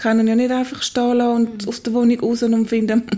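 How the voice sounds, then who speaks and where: A woman with an ordinary speaking voice talks at a fairly quick pace in a fairly high pitch. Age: 40s. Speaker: midwife. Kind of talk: interview, personal testimony.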